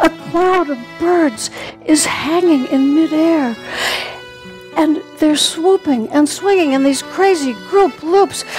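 At a very slow pace, a woman with a high pitch and ordinary pitch variation speaks over light background noise. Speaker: stage actor. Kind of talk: solo theatre monologue. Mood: wistful to humorous. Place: stage. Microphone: headset.

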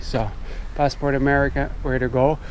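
Heard over light background noise in a dry sound with no echo, a man speaks at a fairly quick pace with fairly even intonation. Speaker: travel vlogger. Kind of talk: casual vlog chat. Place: open country. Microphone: phone near.

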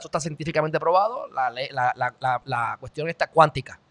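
The voice belongs to a man. His tone is animated. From Puerto Rico. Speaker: commentary show host; podcast host. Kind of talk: opinion commentary monologue; casual podcast commentary. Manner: halting, many self-corrections. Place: home room. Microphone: studio mic.

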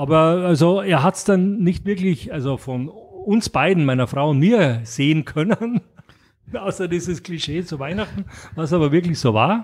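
A man's high-pitched voice at a moderate pace with lively intonation. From Austria, Graz. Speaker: board game publisher. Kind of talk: interview. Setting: in person, Mallorca. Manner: halting, many fillers.

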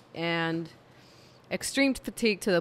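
At a fairly slow pace, a woman speaks with a clear, smooth, tired tone and a fairly low pitch.

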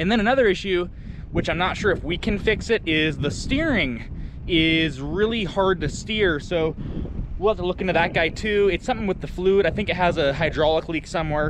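A man's high voice at a fairly quick pace, with ordinary pitch variation, a dry sound with no echo, and noticeable background noise. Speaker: farmer vlogger. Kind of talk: casual vlog chat. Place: farm machine. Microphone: phone near.

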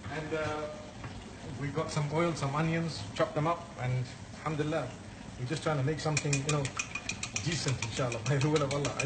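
Noticeable background noise accompanies this recording. A man talks fairly quickly, his pitch varying in an ordinary way. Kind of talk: casual vlog chat. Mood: playful, laughing. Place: kitchen. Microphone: phone near.

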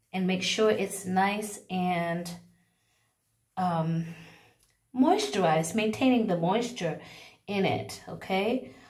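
A somewhat breathy woman with an American accent at a very slow pace, long, frequent pauses, quiet background. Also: ordinary pitch variation. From United States. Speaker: hair care vlogger. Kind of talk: tutorial. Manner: casual, with frequent filler words. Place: bathroom. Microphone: phone near.

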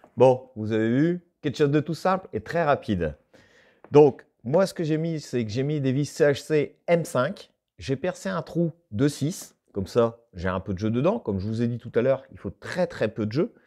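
A man speaks fairly slowly, and the background around him is quiet. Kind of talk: tutorial. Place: workshop.

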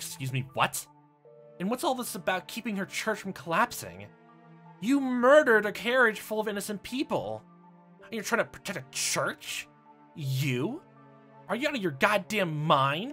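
A man with a high pitch uses a put-on character voice, raised and projected, at a moderate pace with long, frequent pauses. Clear music plays in the background. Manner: outraged, indignant.

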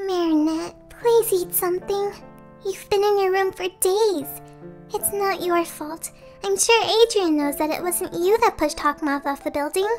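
A put-on character voice, female-sounding with a gentle tone and extremely high pitch, at a moderate pace over clear music in the background. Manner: gentle, caring, worried.

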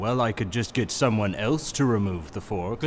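A man uses a put-on character voice, fairly low in pitch, at a moderate pace. Clear background noise runs underneath.

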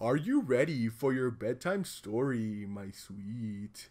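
A man puts on a character voice at a medium pitch. He delivers it at a fairly slow pace. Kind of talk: affectionate, mock-tender. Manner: exaggerated, overly sweet, silly.

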